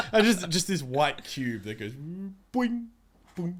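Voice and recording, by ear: A man's high-pitched voice at a slow pace, with big pitch swings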